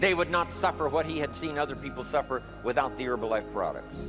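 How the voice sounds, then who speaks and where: The speaker goes at a fairly quick pace with very wide pitch swings while music plays in the background. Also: man. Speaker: motivational speaker. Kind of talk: motivational speech.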